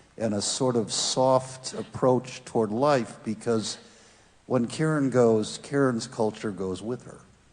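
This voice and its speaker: Noticeable background noise runs behind a man's voice. He speaks at a medium pitch and a fairly slow pace. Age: 70s. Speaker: audience member at panel discussion. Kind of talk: panel discussion.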